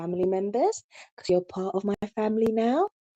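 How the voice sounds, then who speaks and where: A woman with a British accent speaks at medium pitch with ordinary pitch variation and a dark, mellow tone, in a dry, close sound with no echo. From England, London. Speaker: YouTube live streamer. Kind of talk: live stream chat. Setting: live stream. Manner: casual, hesitant with many fillers.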